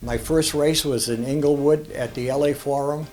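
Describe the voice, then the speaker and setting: A man with a Boston accent speaks at medium pitch. Music plays in the background. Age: 80s+. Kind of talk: interview answer.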